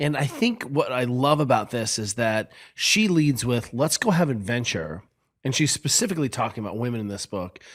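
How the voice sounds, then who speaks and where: At a moderate pace, a man speaks in a normal speaking voice at medium pitch with lively intonation, on a very clean recording with a silent background. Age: 50s. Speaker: podcast co-host. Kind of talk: casual chat.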